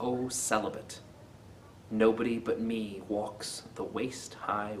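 A man speaks very slowly at a fairly low pitch with fairly even intonation, over light background noise. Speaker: poetry video host. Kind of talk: poetry reading, then casual commentary. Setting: video channel. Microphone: webcam.

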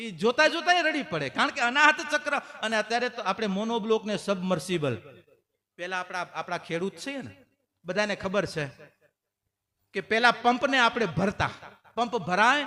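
Raising and projecting his voice, a man speaks at an extremely high pitch in an animated tone with lively intonation. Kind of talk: sermon.

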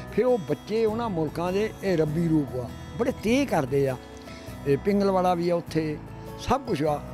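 With clear music behind him, a man speaks in a high voice with lively intonation, and the sound is dry with no echo. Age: 80s+. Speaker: marathon runner. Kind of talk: interview answer. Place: street. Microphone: handheld.

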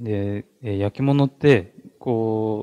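A man speaks with a fairly low pitch and a dark, mellow tone. His pitch varies in an ordinary way. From Japan, Ishikawa; Japan. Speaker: artist. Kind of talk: gallery talk. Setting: gallery with audience. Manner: halting. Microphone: handheld.

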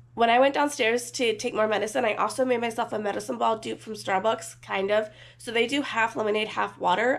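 Speaking at a fairly quick pace with hardly any pauses, a woman sounds tired, her vocal fry audible and her pitch varying in an ordinary way. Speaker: vlogger. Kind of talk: casual vlog chat. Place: home room. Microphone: phone near.

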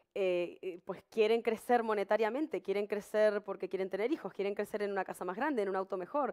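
A woman speaks at a fairly quick pace with hardly any pauses. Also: ordinary pitch variation, quiet background. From Uruguay. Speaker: live TV show host. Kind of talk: live bilingual talk show, advice and reading chat. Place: studio. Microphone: headset.

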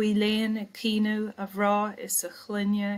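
At a very slow pace, a woman with an Irish accent speaks in a fairly high pitch. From Ireland. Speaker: poet. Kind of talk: poetry reading. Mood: calm, measured. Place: home room. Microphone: webcam.

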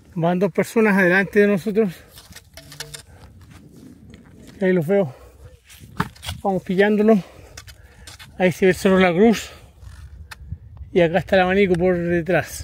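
The speaker leaves long, frequent pauses and keeps a fairly even intonation. The sound is dry with no echo. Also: man, high pitch for a man, moderate pace. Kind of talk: casual vlog narration. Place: open country. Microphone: phone near.

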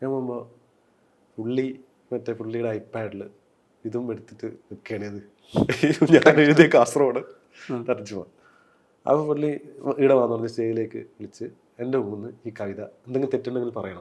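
A man with an ordinary speaking voice at medium pitch shows big swings in loudness. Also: ordinary pitch variation. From Kerala, Kasaragod district. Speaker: novelist and screenwriter. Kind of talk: interview.

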